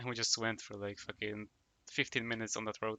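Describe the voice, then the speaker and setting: Someone with a Polish accent speaks at a fairly quick pace. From Poland. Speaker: gaming streamer. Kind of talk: casual chat.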